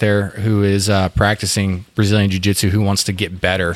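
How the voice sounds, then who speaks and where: A man's fairly low-pitched voice, monotone and flat, over noticeable background noise. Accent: Texan. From Fort Worth, Texas. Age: 30s. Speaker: whiskey distiller, jiu-jitsu fighter and combat veteran. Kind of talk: casual interview. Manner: halting, many fillers and restarts.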